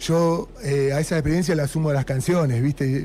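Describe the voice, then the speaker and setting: A man's fairly high voice at a moderate pace, with ordinary pitch variation, over noticeable background noise. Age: 40s. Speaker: punk band musician. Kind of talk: radio interview. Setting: radio studio.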